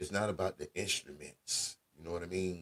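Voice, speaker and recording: A man's very deep, low voice, somewhat breathy, at a moderate pace. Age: 40s. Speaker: radio host. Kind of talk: casual chat. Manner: animated.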